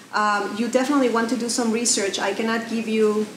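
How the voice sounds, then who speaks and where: A woman with a Mexican accent speaks at a fairly quick pace with a fairly high pitch. Audible room echo and noticeable background noise come through. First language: Spanish. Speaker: social media marketing speaker. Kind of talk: presentation. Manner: animated, conversational.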